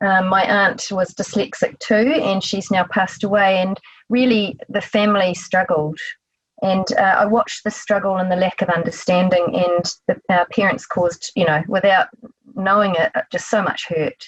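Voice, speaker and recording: This woman has a New Zealand accent and a medium pitch. Her voice is somewhat breathy, and her loudness is very even. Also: fairly even intonation, moderate pace. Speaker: psychotherapist. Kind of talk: interview.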